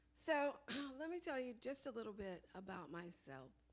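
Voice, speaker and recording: There is audible room echo as a woman talks at a moderate pace. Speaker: public health professional. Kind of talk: conference talk. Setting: conference room with audience.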